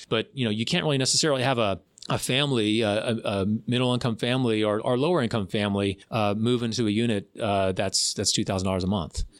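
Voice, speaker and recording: In an American accent, a man talks very fast at medium pitch with ordinary pitch variation and very even loudness. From Florida. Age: middle-aged. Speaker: county commissioner. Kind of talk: casual interview. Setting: studio.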